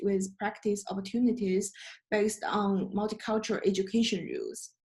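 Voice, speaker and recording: Fairly even intonation comes with a somewhat breathy quality. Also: woman. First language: not English. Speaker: student presenter. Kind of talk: class presentation. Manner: halting.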